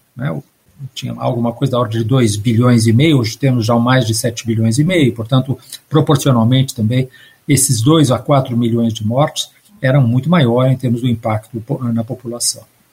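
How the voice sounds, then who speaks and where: A man speaks at a moderate pace and a medium pitch, somewhat breathy, with fairly even intonation. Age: 60s. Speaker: history professor. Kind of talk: interview on environmental collapse.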